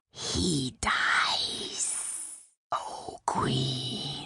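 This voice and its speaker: A woman's put-on character voice, whispering and growling. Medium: audio drama. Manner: whispering, fawning.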